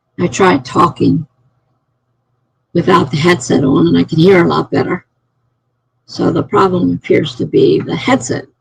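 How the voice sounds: A man's put-on character voice, hoarse and raspy, fairly high-pitched, at a moderate pace with long, frequent pauses.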